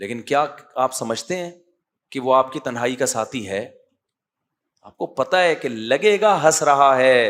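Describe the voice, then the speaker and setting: A man talks with an unremarkable speaking voice at medium pitch. His intonation is lively, and his loudness swings widely. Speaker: Islamic scholar. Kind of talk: religious lecture. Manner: conversational, humorous.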